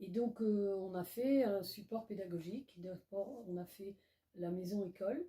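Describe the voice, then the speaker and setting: A woman speaks at a fairly slow pace in a medium pitch, with ordinary pitch variation and a dark, mellow, somewhat breathy tone. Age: 80s+. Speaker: association president, retired teacher. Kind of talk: interview.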